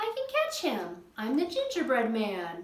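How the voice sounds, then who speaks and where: Using a put-on character voice, a woman speaks at a moderate pace in a high pitch, with a slight echo. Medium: read story. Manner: eager, plucky.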